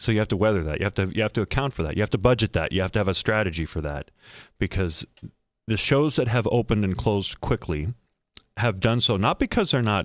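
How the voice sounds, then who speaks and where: The voice moves at a fairly quick pace with ordinary pitch variation, heard as a dry sound with no echo over a quiet background. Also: man. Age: 50s. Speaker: newspaper columnist. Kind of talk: casual chat. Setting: studio. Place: studio. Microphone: studio mic.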